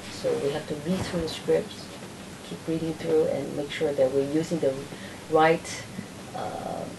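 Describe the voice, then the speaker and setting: Over noticeable background noise and audible room echo, a woman with a very deep, low pitch speaks at a fairly slow pace, her fairly even intonation broken by long, frequent pauses. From Taiwan. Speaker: actress and director. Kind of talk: interview. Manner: halting.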